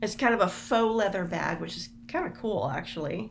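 Light noise sits in the background as the words come at a fairly slow speed. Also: woman. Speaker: product reviewer. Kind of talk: casual unboxing review. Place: home room. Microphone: webcam.

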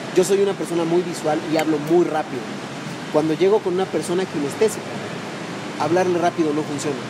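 With clear background noise behind him, a man talks at a fairly quick pace in a fairly high pitch and fairly even intonation.

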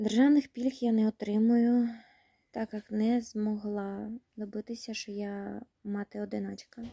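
A woman with a fairly high pitch talks at a fairly slow pace in a somewhat breathy, monotone, flat voice, with a dry sound, no echo and a quiet background. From Kherson region, Ukraine. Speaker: war refugee. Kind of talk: personal appeal to camera. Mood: sad, tired, emotional. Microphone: phone near.

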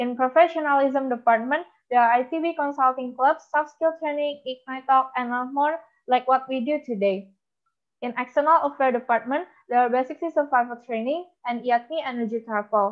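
High in pitch, a woman talks at a moderate pace with ordinary pitch variation. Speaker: student organization chair. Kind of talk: prepared presentation.

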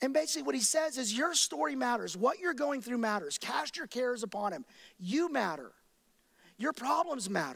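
A man with an American accent talks at a fairly quick pace. The background is quiet. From Texas, Dallas–Fort Worth area; Texas. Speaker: pastor. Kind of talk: sermon. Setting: church with live and online audience. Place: church. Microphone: headset.

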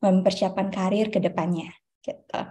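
A woman's somewhat breathy voice, dark and mellow in tone, with fairly even intonation. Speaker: webinar moderator. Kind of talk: formal moderation. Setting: video call. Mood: cheerful, smiling. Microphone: video call.

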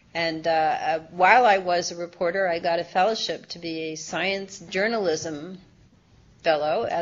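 A woman's plain, everyday voice with an American accent, fairly low in pitch, moderately paced, with fairly even intonation. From US Midwest. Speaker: science author and former journalist; former journalist. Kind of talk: interview. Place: meeting room. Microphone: video call.

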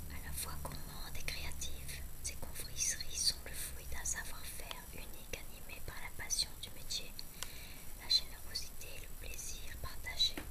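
A woman speaks fairly slowly while loud noise fills the background. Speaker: ASMR creator. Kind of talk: reading product description aloud. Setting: bedroom at home.

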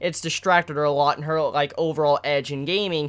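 Speaking at a fairly quick pace, the man shows ordinary pitch variation. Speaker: anime reviewer. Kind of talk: casual vlog commentary. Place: home room. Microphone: phone near.

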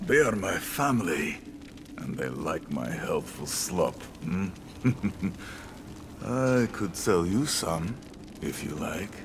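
Using a put-on character voice, a man speaks slowly at a low pitch with big pitch swings over clear background noise.

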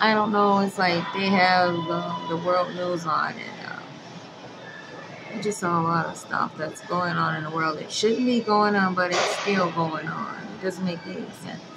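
A woman talks fairly slowly while loud background noise surrounds her. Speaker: vlogger. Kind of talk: casual vlog chat. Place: gym. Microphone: phone near.

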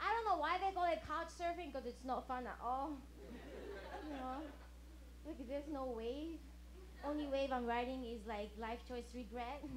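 In a Japanese accent, a high-voiced woman speaks at a moderate pace with long, frequent pauses. Light background noise can be heard. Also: ordinary pitch variation. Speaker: stand-up comedian. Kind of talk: stand-up. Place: stage. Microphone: handheld.

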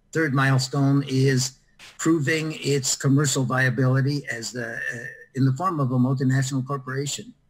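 At a moderate pace, a man speaks in a somewhat breathy voice with monotone, flat intonation. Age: 80s+. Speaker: social entrepreneur; interviewee. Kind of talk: interview. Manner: halting. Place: home room.

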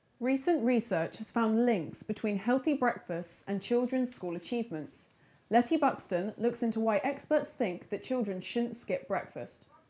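A woman's fairly high voice carries a dark, mellow tone and lively intonation at a moderate pace. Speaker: student news presenter. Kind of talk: studio newsreading, crisp scripted bulletin delivered to camera from autocue. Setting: TV studio. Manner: measured, formal newsreader cadence with clean even pacing; composed and neutral, softening for a sensitive warning. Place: studio. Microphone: lapel.

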